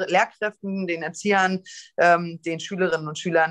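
Against a quiet background, a woman is talking. Her pace is moderate. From eastern Germany. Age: 30s. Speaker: politician. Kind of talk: debate. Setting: video call. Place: home room. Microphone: video call.

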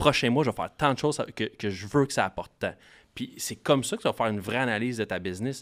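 Over a quiet background, a man talks at a fairly quick pace. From Quebec. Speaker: marketing expert for coaches. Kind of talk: casual chat. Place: studio. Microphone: studio mic.

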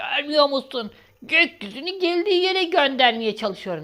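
A put-on character voice from a woman, high in pitch, swinging very widely, delivered at a moderate pace. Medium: read story.

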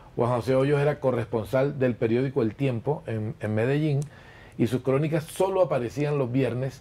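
Here a man talks at a moderate pace in a dark, mellow tone. His intonation is fairly even. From Colombian Caribbean coast. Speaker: journalist and chronicle writer. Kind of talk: interview answer. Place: shop.

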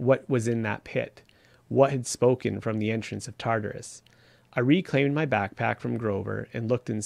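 Someone is reading aloud in a natural voice. The words come across as read text.

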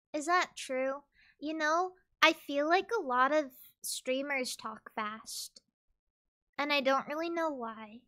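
A raised, projected voice with a bright, sharp tone, very slow pace and long, frequent pauses in a very clean recording with a silent background. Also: woman, high pitch for a woman, ordinary pitch variation. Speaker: VTuber streamer. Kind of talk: casual chat. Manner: careful enunciation.

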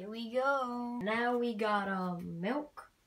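A woman's somewhat breathy voice, ordinary pitch variation, light background noise. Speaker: puppet chef vlogger. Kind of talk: casual vlog chat. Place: kitchen. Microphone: phone near.

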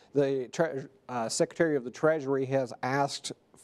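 A man has an unremarkable speaking voice, fairly high in pitch with fairly even intonation, over a quiet background. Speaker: TV news anchor and reporter. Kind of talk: TV news anchor/reporter delivery. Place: studio. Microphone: lapel.

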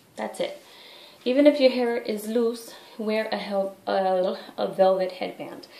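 In a room with audible echo, a woman talks at a fairly slow pace with a fairly high pitch. Her loudness swings widely, while her pitch varies in an ordinary way. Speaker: head wrap tutorial vlogger. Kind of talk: tutorial. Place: bathroom. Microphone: webcam.

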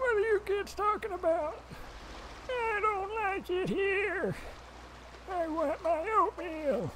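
A put-on character voice moves at a fairly slow pace with long, frequent pauses. Clear background noise can be heard. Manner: grumpy, complaining.

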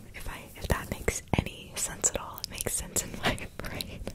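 Over loud background noise, a woman is speaking. Her pace is moderate. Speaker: ASMR creator. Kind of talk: soft ASMR chat. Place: home room. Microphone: studio mic.

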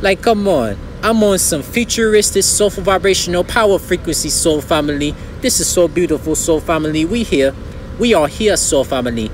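Against noticeable background noise, a man speaks high in pitch at a fairly quick pace with lively intonation and very even loudness. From not US South. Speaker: spiritual content creator. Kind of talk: monologue, spiritual talk to camera. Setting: outdoors, video recording. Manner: animated, excitable.

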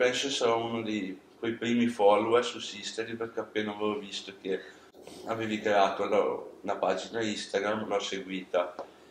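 Audible room echo and light background noise surround a moderate-paced voice with monotone, flat intonation. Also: man. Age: 20s. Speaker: interviewer. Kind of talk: interview. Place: studio. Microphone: camera far.

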